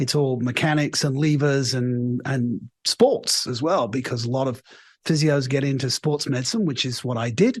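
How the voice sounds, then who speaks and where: A man speaks at a fairly high pitch, somewhat breathy. The background is quiet. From England. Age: 60s. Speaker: leadership coach. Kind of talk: interview.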